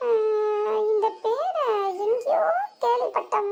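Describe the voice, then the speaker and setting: In a cartoonish character voice, a woman speaks at an extremely high pitch. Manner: exasperated, blunt.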